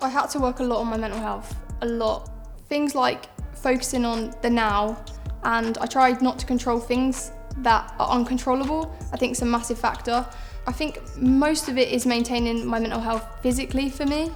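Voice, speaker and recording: With a southern English accent, a woman speaks at a moderate pace with high pitch and fairly even intonation. Music plays in the background. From south east England. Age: 20s. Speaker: footballer. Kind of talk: personal testimony interview.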